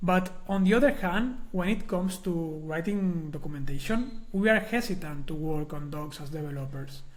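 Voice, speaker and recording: Recorded with audible room echo, a man with a high pitch and a Spanish accent talks at a moderate pace. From Spain. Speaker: software documentation consultant, conference speaker. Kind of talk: conference talk. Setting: recorded online webinar.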